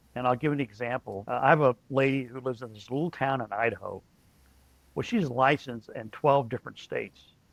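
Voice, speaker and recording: A man's plain, everyday voice at medium pitch, fairly quick and fairly even in intonation, with big swings in loudness and a dry, close sound with no echo. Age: 60s. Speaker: company founder. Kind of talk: podcast interview.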